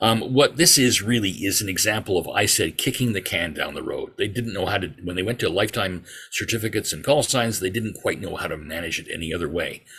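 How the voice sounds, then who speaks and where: A man with a Canadian accent speaks very fast at a fairly low pitch, with hardly any pauses. His tone is bright and sharp, and his pitch varies in an ordinary way. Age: 60s. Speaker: amateur radio regulatory affairs officer. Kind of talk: presentation to a club.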